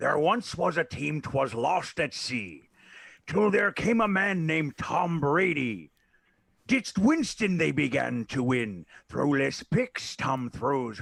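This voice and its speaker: A put-on character voice from a man, fairly high-pitched and fairly slow, in a very clean recording with a silent background. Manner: theatrical, sing-song storytelling.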